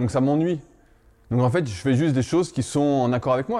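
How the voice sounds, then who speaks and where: Speaking fairly quickly in a normal speaking voice, a man shows ordinary pitch variation. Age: 30s. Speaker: strength training coach. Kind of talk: casual chat.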